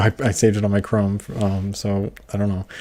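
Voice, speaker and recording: Quiet and somewhat breathy, a man speaks at a fairly low pitch in a dark, mellow tone. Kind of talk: casual livestream chat reading comments. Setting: livestream. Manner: quiet, lower volume; hesitant with fillers and repetitions.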